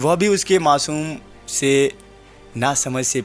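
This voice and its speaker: With lively intonation, a man talks while music plays in the background. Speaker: radio jockey, story narrator. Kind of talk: radio-style audio story narration.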